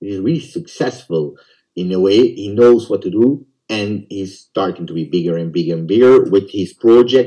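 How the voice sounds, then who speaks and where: Speaking at a moderate pace, a man has a dark, mellow tone and fairly low pitch. His intonation is lively, and his loudness swings widely. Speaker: football YouTuber. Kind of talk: interview.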